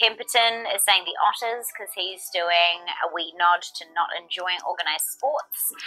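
A woman with a New Zealand accent at a fairly slow pace, with ordinary pitch variation and big swings in loudness. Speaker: trivia game show host. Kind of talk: live game show hosting. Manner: animated. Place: studio.

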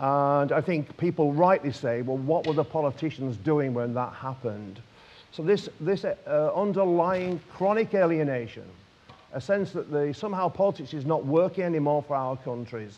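A man with a northern English accent speaks in a fairly high pitch with lively intonation. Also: moderate pace. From northern England. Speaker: politician. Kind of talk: panel speech. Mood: earnest, persuasive. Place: hall. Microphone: lapel.

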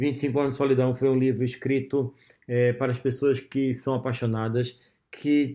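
Dark, mellow man's voice, monotone and flat, at a moderate pace. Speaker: author promoting his audiobook. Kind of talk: promotional talk to camera, with audiobook clips played. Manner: earnest, conversational, hesitant with fillers. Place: home room. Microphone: phone near.

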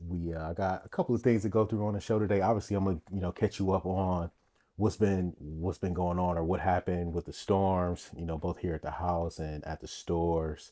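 Against a quiet background, a man with a very deep, low voice talks at a fairly quick pace with fairly even intonation. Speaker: podcast host. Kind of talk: casual podcast monologue. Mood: warm, grateful. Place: home room. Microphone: studio mic.

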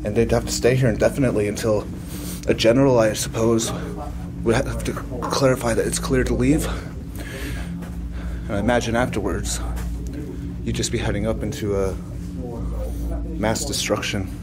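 Noticeable background noise fills the recording. Over it, a man speaks at a fairly quick pace. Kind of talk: casual vlog chat. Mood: curious, slightly awed. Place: tunnel cave. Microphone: phone near.

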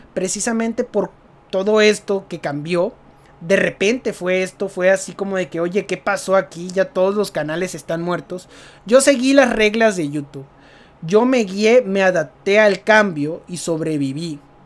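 A fairly slow delivery with a Mexican accent. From Mexico. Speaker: gaming youtuber. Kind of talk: casual vlog commentary. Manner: natural, unscripted.

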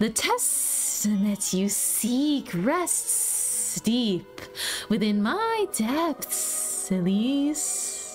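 Over clear music in the background, a woman uses a put-on character voice, fairly high in pitch, at a very slow pace. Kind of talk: formal, archaic. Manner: menacing, sinister.

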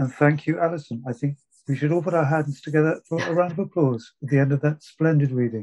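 A man's fairly high voice, dark and mellow in tone, at a very fast pace with fairly even intonation against a quiet background. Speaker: festival host. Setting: online video call. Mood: warm, appreciative. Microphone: video call.

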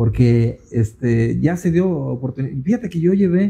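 A man's fairly high, somewhat breathy voice with a dark, mellow tone and very wide pitch swings. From Jalisco, Mexico (Cihuatlán). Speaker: songwriter. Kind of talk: casual interview chat. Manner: halting, many repetitions. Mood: reflective, slightly rueful. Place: studio. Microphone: handheld.

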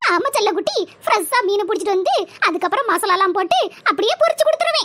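A woman performs a cartoonish character voice. She talks at a fairly quick pace in an extremely high pitch. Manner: affectionate, calls everyone "makkale".

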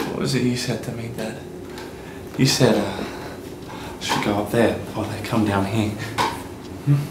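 Against loud background noise, a man speaks at a fairly slow pace with fairly even intonation and long, frequent pauses. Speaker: actor. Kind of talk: drama scene acting. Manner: angry, shouting. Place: home room.

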